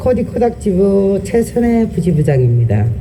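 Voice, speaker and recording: Noticeable background noise fills the recording. The speaking pace is fairly slow. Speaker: union vice branch chief. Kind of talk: rally speech.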